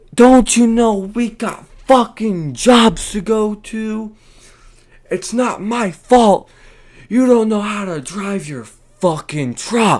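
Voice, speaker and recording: In a put-on character voice, a man shouts in a shrill, high pitch at a very slow pace, with ordinary pitch variation and big swings in loudness. Music plays in the background. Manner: yelling, aggressive, shrill.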